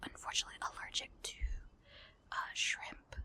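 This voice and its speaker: Whispering at a fairly slow pace. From partly Mexican heritage. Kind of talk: casual talk to camera.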